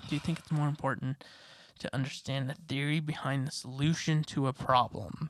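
This woman has a very deep, low pitch. She talks at a moderate pace with fairly even intonation. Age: 20s. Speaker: podcast co-host. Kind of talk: casual chat.

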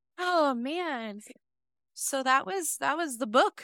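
A woman's raised, projected voice, high in pitch with very wide pitch swings and a bright, sharp tone, in a dry, close sound with no echo. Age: 30s. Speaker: book podcast co-host. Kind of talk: casual chat.

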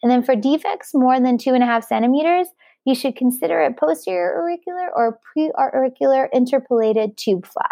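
The voice has a dark, mellow tone and very wide pitch swings, moving at a fairly quick pace against a quiet background. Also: woman, high pitch for a woman. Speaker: plastic surgery resident doctor. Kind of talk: educational exam review. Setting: podcast studio.

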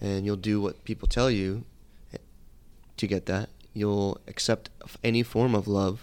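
Pausing long and often, a man with a fairly low pitch keeps a moderate pace and fairly even intonation. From US South, Atlanta (moved from Connecticut at ten). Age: 30s. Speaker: dating and self-love coach. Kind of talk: interview, personal testimony.

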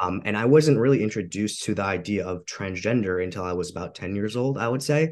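Speaking at a very fast pace with hardly any pauses, a man shows ordinary pitch variation. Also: fairly low pitch for a man, quiet background. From Long Island, New York (Suffolk County). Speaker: bodybuilder. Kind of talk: interview.

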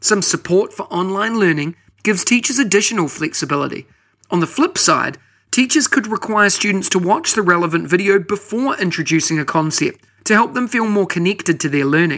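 With a New Zealand accent, a man talks at a fairly quick pace in a high pitch, his tone bright and sharp and his intonation lively. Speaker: podcast host. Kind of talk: podcast hosting, scripted intro and interview.

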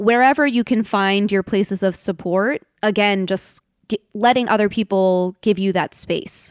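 In a very clean recording with a silent background and a dry, close sound free of echo, a woman uses an ordinary speaking voice at medium pitch, with ordinary pitch variation and a fairly slow pace. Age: 30s. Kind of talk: reflective interview conversation.

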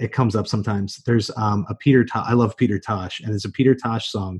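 A man speaks at a very fast pace with hardly any pauses, his medium pitch and fairly even intonation slightly breathy. The background is quiet. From US territory. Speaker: teacher. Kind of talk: interview.

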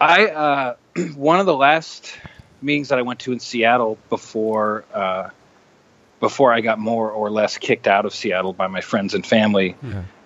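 Speaking in an ordinary speaking voice with an American accent, a man of medium pitch keeps a moderate pace and lively intonation. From US Pacific Northwest (Rainier, Washington). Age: 30s. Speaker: musician in recovery. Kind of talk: interview testimony.

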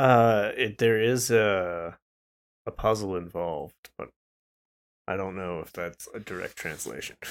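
On a very clean recording with a silent background, a man mumbles fairly slowly at a fairly low pitch, with ordinary pitch variation, big swings in loudness, and long, frequent pauses. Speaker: podcast co-host. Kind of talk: casual chat. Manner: mumbling; loud at times.

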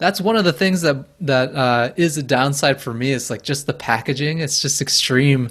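This man's pitch is fairly high. He keeps a moderate pace with hardly any pauses. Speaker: business founder. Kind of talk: casual interview chat. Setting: video call. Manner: monotone, working on adding intonation.

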